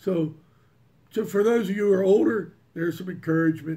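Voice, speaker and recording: At a fairly quick pace, a man talks in a somewhat breathy voice with a dark, mellow tone. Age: 60s. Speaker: music hobbyist YouTuber. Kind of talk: casual monologue. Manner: halting.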